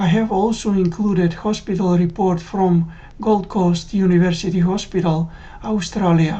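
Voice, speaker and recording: Against noticeable background noise, a woman speaks at a moderate pace in a medium pitch, her intonation monotone and flat and her loudness very even. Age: 60s. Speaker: cardiac arrest survivor. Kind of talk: testimony.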